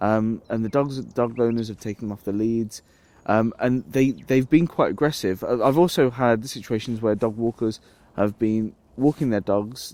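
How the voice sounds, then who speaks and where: In an English accent, a man speaks at a medium pitch and moderate pace with ordinary pitch variation and a dark, mellow tone. The recording is very clean with a silent background. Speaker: outdoors vlogger. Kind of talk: casual vlog talk to camera. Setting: outdoors in woodland camp. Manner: hesitant with repetitions.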